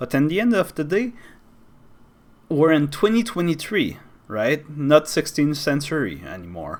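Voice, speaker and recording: A man with a Quebec accent speaks at a fairly slow pace and a fairly high pitch. His intonation is lively, and the recording is very clean with a silent background. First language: French. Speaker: YouTuber. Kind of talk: opinion monologue. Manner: animated.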